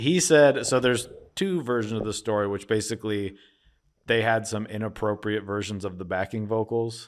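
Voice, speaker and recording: On a very clean recording with a silent background, an ordinary speaking voice with an American accent holds a moderate pace. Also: man, fairly low pitch for a man, ordinary pitch variation. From Philadelphia, US. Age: 40s. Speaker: podcast co-host. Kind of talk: casual chat.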